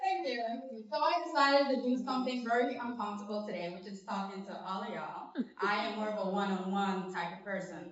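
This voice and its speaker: A woman speaks very fast in a fairly high voice with ordinary pitch variation. Noticeable background noise and audible room echo come through. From Belize. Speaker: digital marketing business owner. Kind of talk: speech to audience at networking event.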